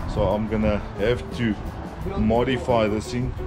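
Clear music plays in the background. Over it, a man speaks. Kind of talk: tutorial. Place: workshop. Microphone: phone near.

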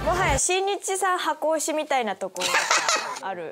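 Amid loud background noise, a woman with an extremely high pitch speaks in an upbeat tone at a moderate pace, with very wide pitch swings. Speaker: voice actress. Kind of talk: casual web show banter. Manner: upbeat, excitable. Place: studio. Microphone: lapel.

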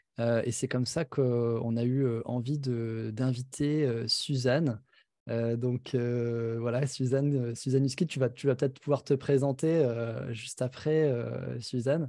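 A man with a dark, mellow tone speaks at a very slow pace and with fairly even intonation over a quiet background. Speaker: festival host. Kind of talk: event introduction. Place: home room. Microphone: studio mic.

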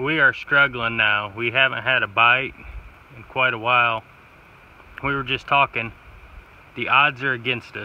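At a moderate pace, a man speaks in an American accent with fairly even intonation.

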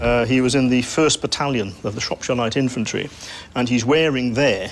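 Medium-pitched male voice, fairly even intonation and very even loudness, with noticeable background noise. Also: moderate pace. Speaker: military history expert. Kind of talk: interview answer.

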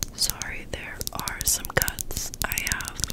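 A soft-spoken woman whispers. She speaks at a very slow pace. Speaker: ASMR creator. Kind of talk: soft ASMR chat. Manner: soft close-mic ASMR whisper. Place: home room. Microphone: studio mic.

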